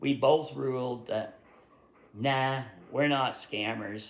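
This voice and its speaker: A man's medium-pitched voice with a Vermont accent, at a very slow pace. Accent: Vermont accent, adds r to word ends. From rural Vermont, US. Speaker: YouTuber, history writer. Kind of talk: casual chat. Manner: halting, many fillers.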